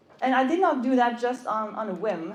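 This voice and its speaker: A woman with a Norwegian accent, high-pitched and lively in intonation, at a moderate pace amid noticeable background noise and audible room echo. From Norway. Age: 30s. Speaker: motorcycle content creator. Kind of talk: stage talk. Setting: stage with audience. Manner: halting.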